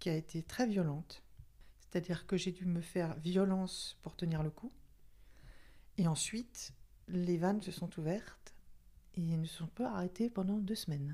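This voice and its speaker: A woman speaks at a fairly slow pace with long, frequent pauses. Her voice is fairly low, somewhat breathy and dark, mellow in tone, with ordinary pitch variation. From Paris region, France. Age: 60s. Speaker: retiree podcast guest. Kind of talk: personal testimony interview. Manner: halting, many hesitations.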